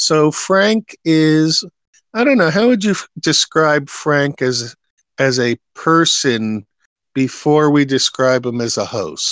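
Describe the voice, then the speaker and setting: Recorded dry and close with no echo, a man speaks at a very slow pace and fairly high pitch with lively intonation. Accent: New York. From New York. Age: 60s. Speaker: live stream host. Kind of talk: casual chat.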